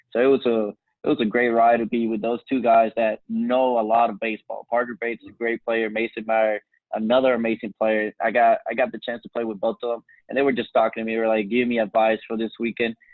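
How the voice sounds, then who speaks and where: A man's medium-pitched voice at a very fast clip, with music playing behind him. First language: Spanish. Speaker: college baseball player. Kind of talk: interview. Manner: animated.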